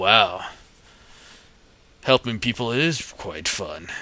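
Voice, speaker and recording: Very slowly, a man performs a raspy, put-on character voice with lively intonation. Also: medium pitch for a man. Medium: read story. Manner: formal, declamatory.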